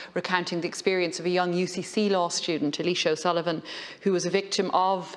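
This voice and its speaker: Speaking at a fairly quick pace, a woman keeps a very even loudness and a monotone, flat intonation at a fairly low pitch. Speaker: legislator in debate. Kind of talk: parliamentary speech. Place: hall. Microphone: podium.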